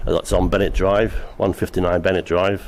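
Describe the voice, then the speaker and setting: Amid noticeable background noise, a man with an English accent speaks at a fairly quick pace. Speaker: business applicant. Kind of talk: public meeting presentation. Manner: halting.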